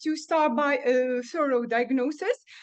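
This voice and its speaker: The speaker is a woman. She has a Tunisian accent. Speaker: dental professor. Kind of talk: conference presentation. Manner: halting, many filler sounds.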